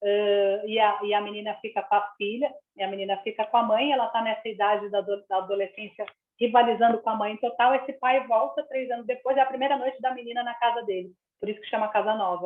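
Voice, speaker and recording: A woman with a fairly high-pitched voice speaks at a very fast pace. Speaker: children's and young adult author. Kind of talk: live reading circle Q&A on video call. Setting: video call. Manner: animated.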